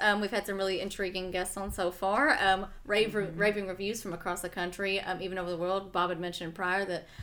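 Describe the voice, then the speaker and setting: A woman at a medium pitch and fairly quick pace, with noticeable background noise. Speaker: podcast host. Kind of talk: casual podcast chat.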